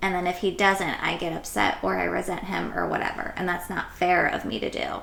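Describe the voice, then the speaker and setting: Noticeable background noise and audible room echo surround a woman talking at a fairly quick pace. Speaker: podcast host, mother. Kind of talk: casual chat.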